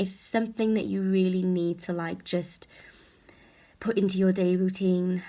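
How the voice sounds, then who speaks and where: Soft-spoken and at a medium pitch, a woman talks on a very clean recording with a silent background. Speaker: health anxiety vlogger. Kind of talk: casual vlog talk. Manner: hesitant with many fillers.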